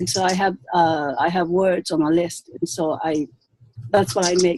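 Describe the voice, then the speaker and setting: This woman has a fairly low voice with ordinary pitch variation and a fairly slow pace. The sound is dry and close, with no echo. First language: not English. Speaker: language teacher. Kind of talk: video call discussion. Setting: video call. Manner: halting.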